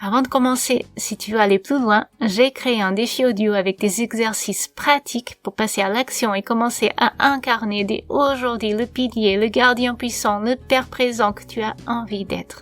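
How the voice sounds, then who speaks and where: A woman with a Portuguese accent talks at a fairly slow pace with hardly any pauses, her pitch fairly high and her intonation fairly even. The sound is dry and close, with no echo. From Portugal. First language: Portuguese (speaking French). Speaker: podcast host, coach for expectant fathers. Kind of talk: interview; scripted podcast intro.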